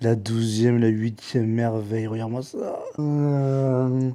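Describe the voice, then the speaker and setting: This is a man at medium pitch. His tone is dark and mellow. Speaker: travel vlogger. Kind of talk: casual vlog narration. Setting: outdoors and in shops, Osaka. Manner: animated; speaking quietly on purpose.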